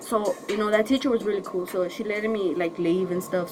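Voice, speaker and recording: Against noticeable background noise, a woman with a Spanish accent speaks at a medium pitch with fairly even intonation. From northern Mexico. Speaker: YouTuber. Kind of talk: story time vlog. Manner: casual, halting.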